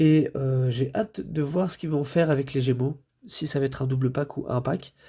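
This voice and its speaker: A man's medium-pitched, somewhat breathy voice, dark and mellow, at a moderate pace with fairly even intonation, on a very clean recording with a silent background. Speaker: toy reviewer. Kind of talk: product review. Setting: home recording, late at night. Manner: hesitant, many fillers.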